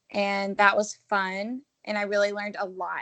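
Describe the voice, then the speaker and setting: A woman with an American accent and a plain, everyday voice, medium in pitch, with fairly even intonation at a fairly slow pace. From US South, Georgia (Augusta). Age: 20s. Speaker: entrepreneur and marketing director. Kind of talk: interview, casual chat.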